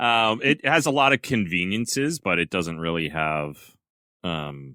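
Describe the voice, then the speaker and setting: A very deep, low male voice with a Canadian accent and a bright, sharp tone, fairly slow, with very wide pitch swings, dry and close with no echo, on a very clean recording with a silent background. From Canada, New Brunswick. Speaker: podcast co-host. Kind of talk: casual chat.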